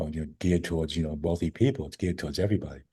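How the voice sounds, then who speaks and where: A man's voice sounds somewhat breathy, with a dark, mellow tone. The background is quiet. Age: 70s. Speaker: chiropractor and functional medicine doctor. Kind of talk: interview. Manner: conversational with frequent fillers and repetitions.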